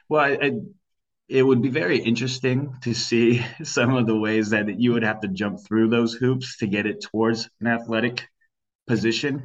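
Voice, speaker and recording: A man talks in a normal speaking voice at a medium pitch. His pace is moderate and his intonation fairly even. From Sacramento, California. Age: 20s. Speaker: political campaign advocate. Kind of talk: interview.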